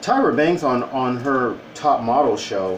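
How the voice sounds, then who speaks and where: A man with an American accent talks at a very slow pace and medium pitch, with noticeable background noise and audible room echo. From Southern California. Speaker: vlogger. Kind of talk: monologue vlog. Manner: halting.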